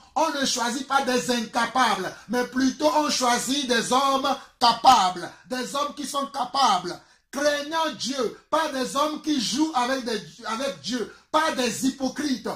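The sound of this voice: A man speaks at an extremely high pitch in a bright, sharp tone with lively intonation. His pace is fairly slow, with few pauses.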